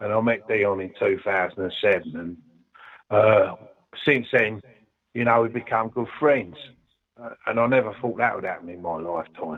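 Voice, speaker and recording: A man with a London accent speaks at a moderate pace and medium pitch, with ordinary pitch variation. His loudness swings widely, and he leaves long, frequent pauses. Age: 70s. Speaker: ska singer-songwriter. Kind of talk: interview. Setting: phone call. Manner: halting; animated.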